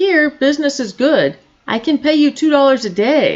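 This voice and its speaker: A woman does a put-on character voice pitched high. Her pitch varies in an ordinary way. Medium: read story. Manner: earnest, practical.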